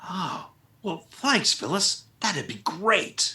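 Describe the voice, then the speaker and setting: A man puts on a raspy character voice at a high pitch. He drags it out at a very slow pace. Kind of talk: radio comedy drama acting.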